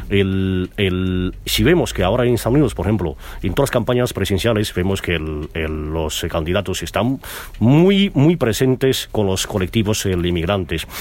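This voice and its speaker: Over noticeable background noise, a man with fairly low pitch speaks at a moderate pace with lively intonation. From China. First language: Mandarin Chinese (speaking Spanish). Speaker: businessman and radio founder. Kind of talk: interview. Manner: halting.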